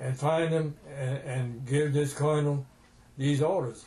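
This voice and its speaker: In a Cajun accent, a somewhat breathy voice with a dark, mellow tone speaks at a fairly slow pace with monotone, flat intonation. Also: man. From Louisiana, US South (Cajun). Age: 80s+. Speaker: war veteran. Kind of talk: oral history interview storytelling.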